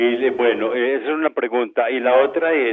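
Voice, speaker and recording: Speaking at a moderate pace, a man holds a medium pitch with fairly even intonation. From Colombia, Antioquia (Bello). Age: 60s. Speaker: caller. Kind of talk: call-in question. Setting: phone call.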